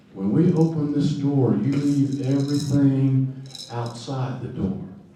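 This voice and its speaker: The man's voice carries audible room echo, with noticeable background noise in the recording. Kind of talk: storytelling talk. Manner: loud.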